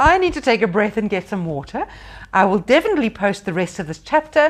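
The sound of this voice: The passage is read in an unforced reading voice.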